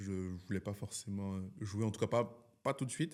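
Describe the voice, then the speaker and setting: On a very clean recording with a silent background, a man speaks at a fairly quick pace with a fairly low pitch and ordinary pitch variation. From France, Lyon, Central African heritage. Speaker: film director. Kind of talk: interview. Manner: hesitant, many fillers; animated.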